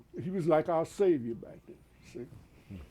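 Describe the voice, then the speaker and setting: Very slow and fairly high-pitched, a man's voice carries a dark, mellow tone. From New Jersey, Atlantic City. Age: 80s+. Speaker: war veteran. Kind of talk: interview. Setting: studio. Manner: halting, many fillers.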